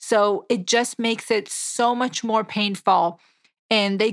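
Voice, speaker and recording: Speaking at a moderate pace, the woman has a fairly high pitch. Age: 30s. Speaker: dietitian and weight loss podcast host. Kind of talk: solo educational podcast monologue.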